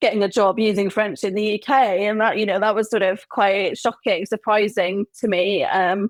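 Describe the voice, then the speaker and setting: In a Welsh accent, a fairly high-pitched woman speaks at a moderate pace, the sound dry and close with no echo on a very clean recording with a silent background. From Wales. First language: Welsh and English. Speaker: humanist celebrant. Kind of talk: interview answer.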